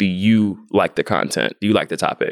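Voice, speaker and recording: Moderate-paced speech with an American accent, a dry, close sound with no echo, and a very clean recording over a silent background. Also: man. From US South, Atlanta, Georgia. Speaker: YouTuber and content marketer. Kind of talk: interview conversation. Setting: conference.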